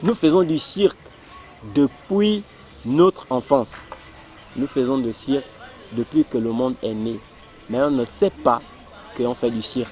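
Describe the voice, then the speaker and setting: Music plays in the background while a man, with lively intonation, talks at a fairly slow pace. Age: 30s. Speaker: circus performer and trainer. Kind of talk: documentary interview.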